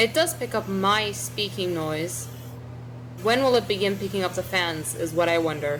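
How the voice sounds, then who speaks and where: A fairly low-pitched woman's voice with very wide pitch swings and noticeable background noise. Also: moderate pace. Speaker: gaming streamer. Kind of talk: gameplay commentary. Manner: casual, filler-heavy.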